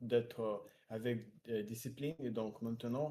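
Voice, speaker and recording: A man with a medium-pitched voice speaks very slowly. His tone is dark and mellow, his intonation fairly even. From Russia, Siberia. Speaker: French learner. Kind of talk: language practice conversation. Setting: video call. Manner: halting, many fillers.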